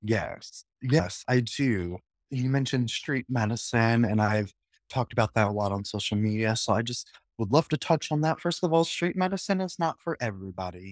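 A man with a plain, everyday voice speaks at a medium pitch and a moderate pace, his intonation lively. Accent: American. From Nebraska (Lincoln). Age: 30s. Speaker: political candidate. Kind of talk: interview.

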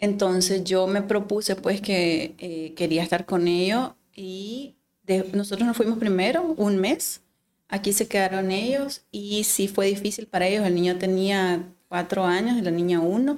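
A woman's medium-pitched voice moves at a fairly slow pace, varying in pitch in an ordinary way. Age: 40s. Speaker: gynecologist and fertility specialist. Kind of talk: casual interview conversation. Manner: hesitant, many fillers.

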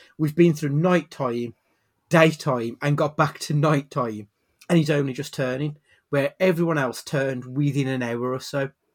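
Here a man speaks with a British accent at a moderate pace. His pitch is fairly high. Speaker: podcast host. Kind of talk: casual chat.

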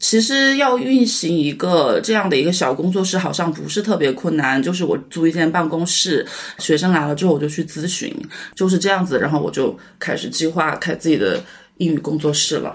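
This woman has an unremarkable speaking voice with a fairly low pitch. She talks at a fairly quick pace with lively intonation. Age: 30s. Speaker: English tutor. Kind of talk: personal testimony.

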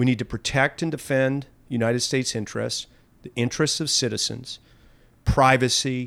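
A man with an American accent has a normal speaking voice at a medium pitch. His intonation is fairly even and his pace moderate. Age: 60s. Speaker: lobbyist. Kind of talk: interview.

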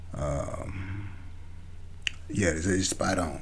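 A man talks with an animated tone. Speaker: gaming podcaster. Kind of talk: casual solo monologue. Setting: home recording via podcast app. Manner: fast.

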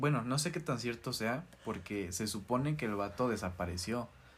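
Lively intonation from a man at medium pitch, with a Mexican accent. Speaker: podcast co-host. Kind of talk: casual chat. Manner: quieter near the end.

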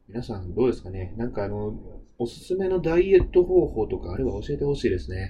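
The speaker goes at a very fast pace with very wide pitch swings. Loudness rises and falls in big swings. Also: man, medium pitch for a man. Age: 20s. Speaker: podcast host. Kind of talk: casual solo talk.

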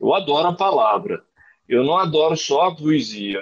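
The speaker goes at a fairly slow pace with vocal fry. The pitch swings very widely. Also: man. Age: 30s. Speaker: writer and creative writing teacher. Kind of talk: casual interview.

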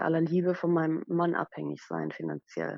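The woman's pace is moderate. Her voice sits fairly low in pitch. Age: 30s. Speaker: blogger with chronic illness. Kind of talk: casual interview. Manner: halting, many fillers.

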